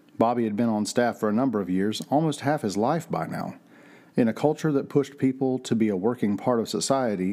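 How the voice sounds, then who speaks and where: The tone is dark and mellow, the pace fairly quick, the pitch variation ordinary, and the recording very clean against a silent background. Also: man. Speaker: narrator of mystery audio drama. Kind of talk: scripted noir-style audio drama narration, read aloud as a mystery story. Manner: measured, atmospheric storyteller delivery with a hushed, suspenseful build; formal and descriptive, literary pacing.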